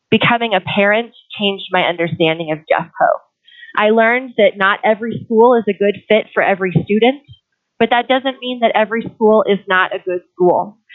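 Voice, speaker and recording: A woman with an unremarkable speaking voice talks at a fairly high pitch. Her pace is moderate and her pitch variation ordinary. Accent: American. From Colorado, US. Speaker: teacher and parent giving public comment. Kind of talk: public comment at school board meeting.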